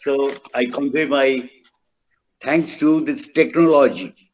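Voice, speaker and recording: A man with a Bengali accent speaks at a fairly high pitch. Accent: Bengali Indian English. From India, Bengal. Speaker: event speaker. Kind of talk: formal speech at online event. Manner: halting.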